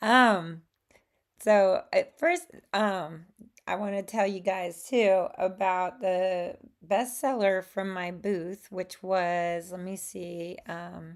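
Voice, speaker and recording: Very slowly, a woman speaks with a Southern US accent at medium pitch. Her intonation is fairly even, while her loudness swings widely. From Alabama, US Gulf Coast. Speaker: watercolor artist and crafter. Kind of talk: casual talk to camera. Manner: hesitant, many fillers.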